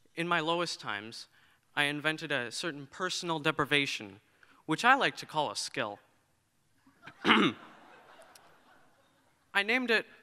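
Male speech, moderately paced, over a quiet backdrop. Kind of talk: prepared speech. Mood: earnest, reflective. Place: hall. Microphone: podium.

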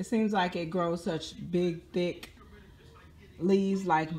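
Speaking at a fairly slow pace, a woman reads her words. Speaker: home gardener vlogger. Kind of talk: casual vlog chat. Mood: playful, chatty. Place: home room. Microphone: phone near.

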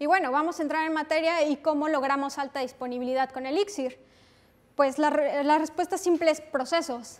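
Her pitch is high, and this woman talks at a fairly quick pace in a Mexican accent. Her intonation stays fairly even. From Mexico. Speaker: software developer, conference speaker; conference speaker. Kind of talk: technical conference talk. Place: classroom.

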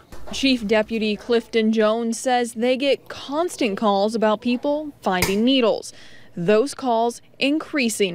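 With a normal speaking voice, a woman talks at a fairly slow pace, using a fairly high pitch and ordinary pitch variation. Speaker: TV news reporter. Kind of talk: news report. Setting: outdoors.

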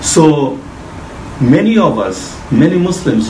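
Light background noise and audible room echo surround a man speaking. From Bangladesh. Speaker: mortgage finance specialist. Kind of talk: interview explaining finance. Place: office. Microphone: camera far.

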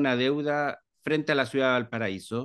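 Against a quiet background, a man speaks at a moderate pace and medium pitch. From Chile, Viña del Mar; Chile. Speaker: library director; interviewee. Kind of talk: interview. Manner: hesitant, many fillers. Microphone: video call.

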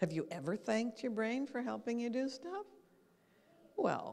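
A woman speaks with an American accent at a moderate pace. Her pitch swings very widely. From Canada, Calgary, Alberta, then New York from age 16; Alberta, Canada. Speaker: brain and habits lecturer; habits lecturer. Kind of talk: lecture. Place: hall. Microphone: handheld.

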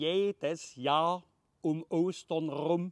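A man with a Saxon accent, dry with no echo, against a quiet background. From Leipzig, Saxony. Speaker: comedian. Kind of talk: dialect poetry reading. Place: garden. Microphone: phone near.

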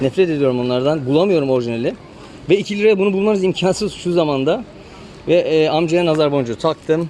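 Noticeable background noise sits under a man talking at a very fast pace. His fairly high voice carries lively intonation. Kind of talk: casual street vlog talk to camera.

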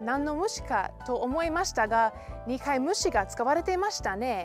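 Clear music sits behind a woman who speaks at a moderate pace in a high voice with very wide pitch swings, the sound dry with no echo. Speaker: dialect lesson host. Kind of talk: educational presenter talk. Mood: cheerful, friendly. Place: open country. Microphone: lapel.

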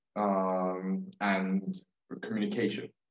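Fairly even intonation with audible room echo. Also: man. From Israel. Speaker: youth climate activist; panelist. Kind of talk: panel discussion. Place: home room. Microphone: webcam.

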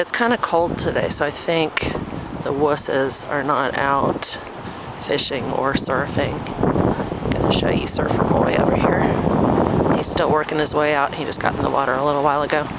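A man at a moderate pace, long and frequent pauses, dry sound with no echo, loud background noise. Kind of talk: casual vlog chat. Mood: cheerful, relaxed. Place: waterside. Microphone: phone near.

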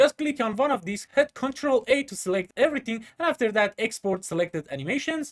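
Recorded against a quiet background, a man is talking. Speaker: software tutor. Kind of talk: tutorial.

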